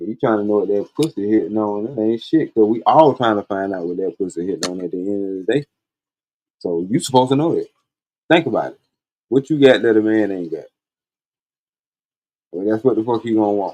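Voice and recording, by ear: Slightly mellow tone and lively intonation at a fairly quick pace, broken by long, frequent pauses. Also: man, fairly low pitch for a man.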